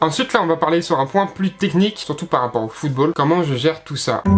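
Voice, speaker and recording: A man rattles off his words at a very fast pace, his pitch varying in an ordinary way while music plays behind him. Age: 20s. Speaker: YouTuber and American football player. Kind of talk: casual talk to camera. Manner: relaxed, casual.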